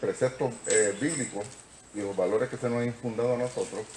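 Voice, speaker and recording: A man talks at a moderate speed, with background noise clearly present. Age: 70s. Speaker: lawyer. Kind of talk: lecture.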